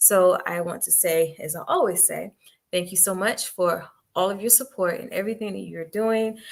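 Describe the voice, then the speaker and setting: Here is a woman with an unremarkable speaking voice at medium pitch. She talks at a fairly quick pace with fairly even intonation. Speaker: podcast host. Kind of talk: podcast intro and announcements. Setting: live stream studio. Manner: casual, chatty.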